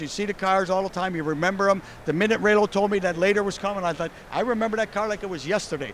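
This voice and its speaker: A man's high, animated voice with an American accent at a very fast pace. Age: 60s. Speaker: car show host and car builder. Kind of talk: casual interview. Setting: indoor car show.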